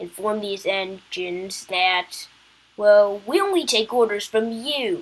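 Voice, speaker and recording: A woman's put-on character voice at medium pitch, delivered at a moderate pace. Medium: read story. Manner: polite, respectful.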